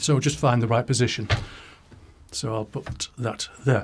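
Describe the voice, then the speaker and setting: A man speaks in a somewhat breathy voice. His pace is fairly slow. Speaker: product reviewer. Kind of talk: product demo. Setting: home studio. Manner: casual.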